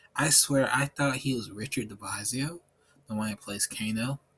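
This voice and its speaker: Music plays in the background while a man talks. His pace is moderate and his intonation fairly even. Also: dry, close sound with no echo. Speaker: gaming vlogger. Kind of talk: casual commentary vlog.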